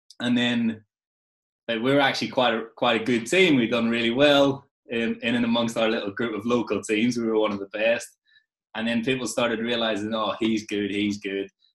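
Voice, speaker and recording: A man with an Irish accent talks at a moderate pace. His pitch is medium and his intonation fairly even. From Ireland. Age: 20s. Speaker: football coach. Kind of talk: casual interview chat. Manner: halting, repeats words.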